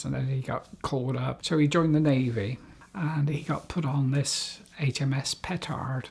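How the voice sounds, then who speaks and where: At a fairly slow pace and with a somewhat breathy voice, the speaker uses ordinary pitch variation in a West Country accent. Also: man. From England, South Gloucestershire. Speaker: war veteran's family member, interviewee. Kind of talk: oral history interview.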